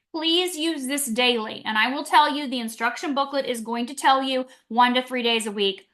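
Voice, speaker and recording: A woman speaks in a raised, projected voice. Her pitch is high and her pace moderate. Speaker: doctor promoting wellness patches. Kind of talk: live product presentation. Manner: animated.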